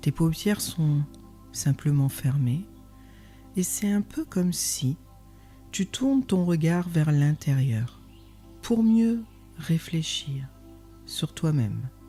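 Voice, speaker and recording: Against music in the background, a woman with a very deep, low pitch speaks very slowly in a calm tone, her loudness very even, her pitch swinging very widely, with long, frequent pauses. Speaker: meditation guide. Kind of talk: guided meditation. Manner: slow, calm.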